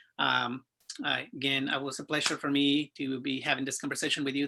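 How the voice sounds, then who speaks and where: Against a quiet background, a man with a Spanish accent talks at a fairly quick pace and a fairly high pitch, his bright, sharp tone delivered in monotone, flat intonation. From Mexico. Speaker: sales professional, interview guest. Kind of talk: interview conversation.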